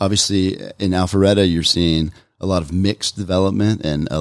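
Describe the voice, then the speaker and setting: A man's very deep, low voice with an American accent. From Roswell, Georgia (Atlanta area), US South. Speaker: investment firm founder and author. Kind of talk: radio interview.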